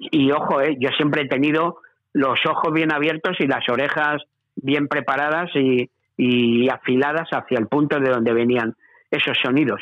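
A man speaks at a moderate pace in a fairly high voice, with very even loudness and fairly even intonation. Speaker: veteran radio presenter. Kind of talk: interview.

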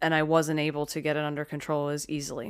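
A woman's very deep, low voice in a monotone, flat intonation. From Philadelphia, US. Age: 30s. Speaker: podcast host and comedian. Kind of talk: casual chat; scripted narration.

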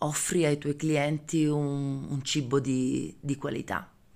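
A woman's very deep, low voice at a very slow pace, with ordinary pitch variation. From Calabria, Aspromonte. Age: 40s. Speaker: farmer. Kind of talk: personal testimony. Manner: hesitant, with many fillers and repetitions.

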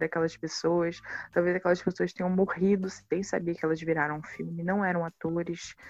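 A woman talks at a fairly quick pace. Her fairly low voice keeps a fairly even intonation. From Baixada Fluminense, Rio de Janeiro, Brazil. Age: 20s. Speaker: filmmaker. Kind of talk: interview.

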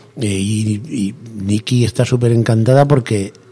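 Over noticeable background noise, a man with a fairly low voice talks with ordinary pitch variation. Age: 60s. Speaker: cigar box guitar builder. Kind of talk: radio interview.

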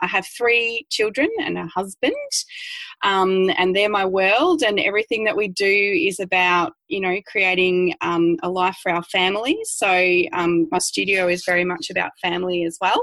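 A woman with an Australian accent speaks at a moderate pace in a medium pitch. Her tone is bright and sharp, with ordinary pitch variation. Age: 40s. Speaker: dance studio owner. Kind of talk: interview. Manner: animated.

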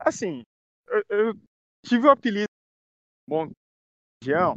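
This is a man speaking. His pitch is high. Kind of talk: casual chat.

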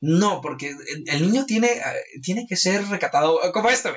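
His intonation is lively. The man speaks at a high pitch. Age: 20s. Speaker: hip hop event organizer and interviewer. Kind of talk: casual chat.

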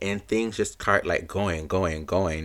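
Speaking at a fairly slow pace, a man sounds animated on a very clean recording with a silent background. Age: young. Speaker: podcast host. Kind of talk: casual solo monologue.

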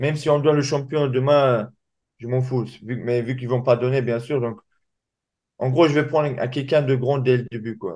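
With long, frequent pauses, a man speaks at a moderate pace in a medium pitch and fairly even intonation. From Dagestan, Russia. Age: young. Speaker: MMA fighter. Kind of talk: interview.

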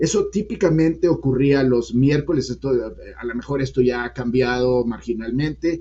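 He has a plain, everyday voice, with medium pitch, ordinary pitch variation and a moderate pace. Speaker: economist, former central bank deputy governor. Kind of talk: interview.

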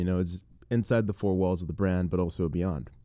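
Against a quiet background, a man with a very deep, low pitch and a dark, mellow tone speaks at a fairly quick pace with fairly even intonation. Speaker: entrepreneur and awards juror. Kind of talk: casual interview chat.

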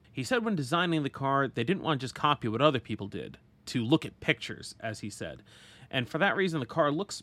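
Talking at a very fast pace, a man with a medium pitch and a bright, sharp tone shows vocal fry and very wide pitch swings. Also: very clean recording, silent background. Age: 30s. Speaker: motorsport podcast host. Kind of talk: solo podcast narration.

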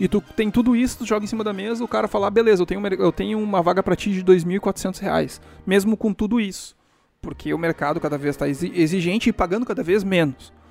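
With music in the background, a man talks very fast in a high voice with ordinary pitch variation, recorded with a dry, close sound and no echo. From Brazil. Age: 30s. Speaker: solo podcaster. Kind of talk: casual monologue.

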